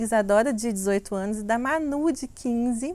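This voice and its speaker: A woman in a Minas Gerais accent, with lively intonation. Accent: Minas Gerais (mineiro) Portuguese. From Brazil, Minas Gerais (Belo Horizonte). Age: 40s. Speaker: sensuality coach and content creator. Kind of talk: personal life story, casual monologue.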